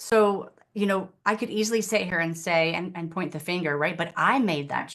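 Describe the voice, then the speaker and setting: Speaking with an American accent, a woman keeps a moderate pace, a fairly low pitch and ordinary pitch variation. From West Virginia, US. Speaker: life coach and yoga teacher. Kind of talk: interview. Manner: animated.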